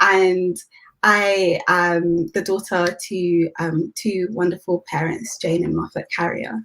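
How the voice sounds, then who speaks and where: Speaking very slowly, a woman with a British accent uses ordinary pitch variation. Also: fairly low pitch for a woman. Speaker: youth leader. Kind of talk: interview.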